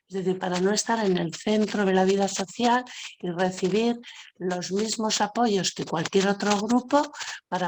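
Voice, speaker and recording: At a moderate pace, a woman talks at a medium pitch with ordinary pitch variation in a plain, everyday voice. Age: 60s. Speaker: panel speaker on social inclusion. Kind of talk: web seminar talk. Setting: web seminar. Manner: conversational with fillers.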